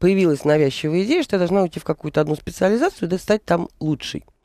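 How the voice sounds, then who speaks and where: Over a quiet background, a woman speaks at a fairly low pitch with a dark, mellow tone and ordinary pitch variation, in a dry sound with no echo. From St Petersburg, Russia; Russia. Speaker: business owner; radio guest. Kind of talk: radio interview. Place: studio. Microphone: studio mic.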